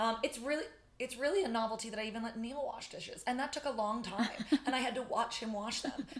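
A loud woman with an American accent talks at a very fast pace, her pitch fairly high with ordinary pitch variation, amid noticeable background noise. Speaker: podcaster and friend. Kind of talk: casual chat. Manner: very fast talker.

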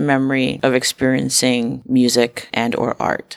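Speaking very slowly, a woman talks in an American accent. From Harlem, New York City. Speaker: podcast host. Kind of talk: interview.

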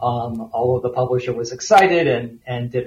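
A man with an American accent speaks at a moderate pace and medium pitch. He has a normal speaking voice. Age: 60s. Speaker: author and editor. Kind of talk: interview. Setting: remote call into studio.

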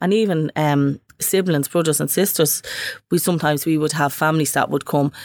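A woman with a Dublin accent talks at a fairly quick pace in a very deep, low pitch with fairly even intonation. Her loudness stays very even, on a very clean recording with a silent background. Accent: Dublin Irish. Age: 50s. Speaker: community project coordinator. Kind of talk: casual chat.

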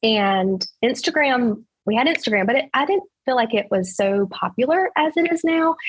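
A somewhat breathy woman's voice at a fairly slow pace, with very wide pitch swings. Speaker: real estate agent. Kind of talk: interview.

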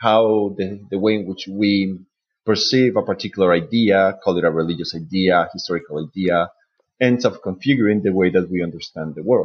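With a Spanish accent, a man talks at a fairly quick pace and a fairly low pitch, using ordinary pitch variation. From Colombia, Bogota. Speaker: PhD student in medieval studies. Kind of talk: panel discussion.

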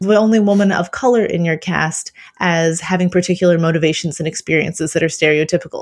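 On a very clean recording with a silent background, a woman with an American accent has a plain, everyday voice at a fairly low pitch, with fairly even intonation and a fairly quick pace. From Kentucky, US. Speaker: novelist. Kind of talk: casual chat.

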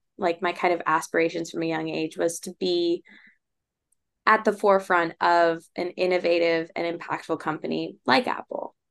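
In a plain, everyday voice, a woman talks at a fairly low pitch and fairly slow pace with fairly even intonation over a quiet background. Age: 20s. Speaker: startup founder. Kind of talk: interview.

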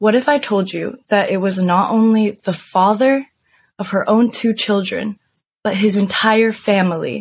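At a fairly slow pace, a woman of medium pitch speaks in a somewhat breathy voice. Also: ordinary pitch variation. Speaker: podcast host. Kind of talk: casual banter true crime storytelling.

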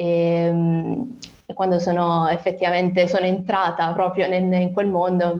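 This is a woman speaking. Her pitch is fairly low. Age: 20s. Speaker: nurse and rare disease patient. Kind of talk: interview testimony. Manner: hesitant, many fillers.

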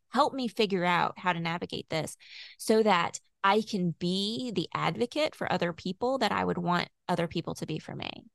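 Against a quiet background, a woman with vocal fry and a fairly low pitch speaks at a moderate pace with lively intonation. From Louisville, Kentucky. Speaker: author and academic. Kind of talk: interview conversation.

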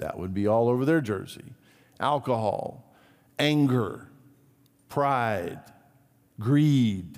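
This man talks at a very slow pace, with lively intonation. Room echo is audible around him. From Brazil. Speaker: pastor. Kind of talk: sermon.

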